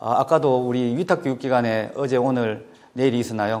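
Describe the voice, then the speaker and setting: A man with a Gyeongsang accent at a very fast pace. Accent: Gyeongsang Korean intonation. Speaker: education official. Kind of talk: lecture.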